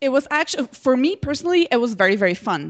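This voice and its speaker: A woman with a Slovenian accent at a fairly quick pace, the sound dry and close with no echo. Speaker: social media entrepreneur. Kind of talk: interview. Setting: Skype call.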